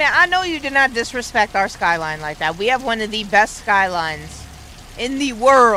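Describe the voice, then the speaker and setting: Over noticeable background noise, an animated voice swings very widely in pitch. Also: woman, fairly high pitch for a woman, moderate pace. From New York. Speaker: gaming streamer. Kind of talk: live gameplay commentary. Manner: casual.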